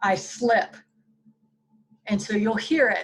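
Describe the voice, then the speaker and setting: A woman with an American accent, at a moderate pace. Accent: slight southern accent that slips out. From Alabama, US South. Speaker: web show host. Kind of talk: casual interview chat.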